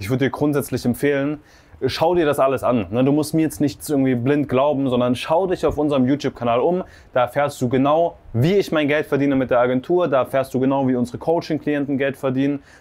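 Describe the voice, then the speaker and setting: A very fast pace with an animated tone. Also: man, fairly high pitch for a man. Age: 20s. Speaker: agency owner and vlogger. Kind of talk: sales pitch; house tour vlog. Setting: outdoors by the sea. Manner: casual, animated. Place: home room. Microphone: lapel.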